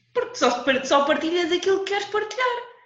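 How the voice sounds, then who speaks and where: Over audible room echo, a woman speaks at an extremely high pitch with very wide pitch swings and a fairly quick pace. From Portugal, Lisbon. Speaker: podcast co-host. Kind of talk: casual chat.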